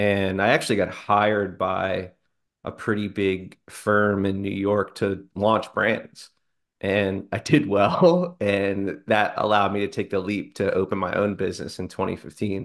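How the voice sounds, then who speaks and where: A man speaks with a fairly low pitch and fairly even intonation. His pace is fairly slow, and the background is quiet. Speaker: guest business coach. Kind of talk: interview answer. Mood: relaxed, friendly, some laughs. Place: home room. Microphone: video call.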